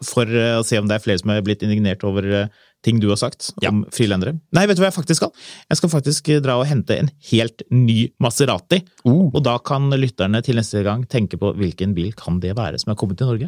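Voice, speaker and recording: An unremarkable speaking voice from a man at medium pitch, fairly quick and with lively intonation, big swings in loudness, and a dry, close sound with no echo. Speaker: car podcast host. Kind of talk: casual chat.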